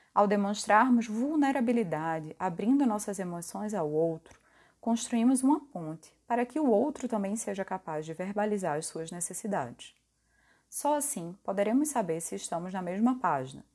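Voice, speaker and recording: Pitch swings very widely against a quiet background. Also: woman, medium pitch for a woman, moderate pace. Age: 20s. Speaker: podcast host. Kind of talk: reflective monologue.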